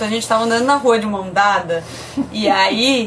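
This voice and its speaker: Against noticeable background noise, a woman speaks at a fairly high pitch in a São Paulo accent. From Brazil, São Paulo. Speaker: podcast host, mother. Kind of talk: casual chat, live stream. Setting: Instagram live video stream.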